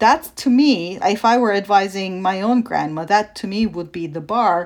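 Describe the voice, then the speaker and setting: A woman with a Turkish accent and lively intonation, in a very clean recording with a silent background. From Turkey. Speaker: sociologist. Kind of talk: interview.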